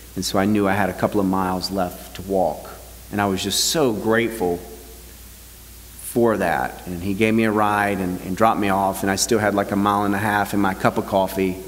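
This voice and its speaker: This man talks at a fairly quick pace in a fairly low pitch, an ordinary speaking voice. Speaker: pastor. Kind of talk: sermon. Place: church.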